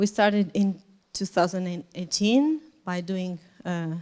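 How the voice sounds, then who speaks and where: A woman with a Portuguese accent talks at a medium pitch and fairly slow pace. The recording is very clean, with a silent background. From Portugal. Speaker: nonprofit volunteer organizer and kindergarten teacher. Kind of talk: conference presentation. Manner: halting, with hesitations.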